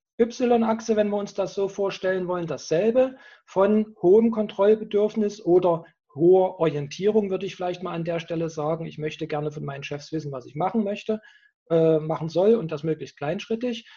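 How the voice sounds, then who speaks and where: At a moderate pace, the man talks with a high pitch and ordinary pitch variation. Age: 50s. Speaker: professor of personnel development. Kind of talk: interview. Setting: video call.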